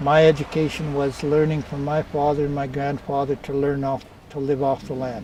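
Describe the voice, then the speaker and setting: Amid noticeable background noise, a man with a northern Ontario accent speaks at a moderate pace and fairly high pitch in a monotone, flat intonation. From northwestern Ontario First Nation, Deer Lake. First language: Oji-Cree. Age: 60s. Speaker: community elder. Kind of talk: personal storytelling interview. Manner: halting.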